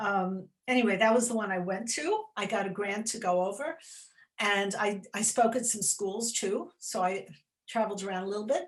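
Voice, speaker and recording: Somewhat breathy, a woman with a New York accent talks at a moderate pace and medium pitch, with ordinary pitch variation. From US, New York City. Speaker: children's author. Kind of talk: interview chat. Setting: library event. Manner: animated.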